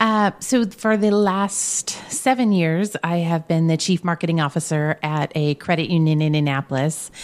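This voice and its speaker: A woman with an American accent and an unremarkable speaking voice talks at a moderate pace with hardly any pauses, her fairly low pitch showing ordinary variation and her loudness very even, in a dry, close sound with no echo. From Indiana, Brownsburg. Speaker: chamber of commerce director. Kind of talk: interview.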